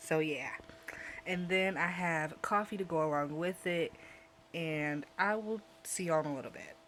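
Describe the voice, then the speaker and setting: With fairly even intonation, a woman speaks at a fairly low pitch and moderate pace, leaving long, frequent pauses. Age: 20s. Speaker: vlogger. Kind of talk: casual vlog talk to camera. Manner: chill, mellow.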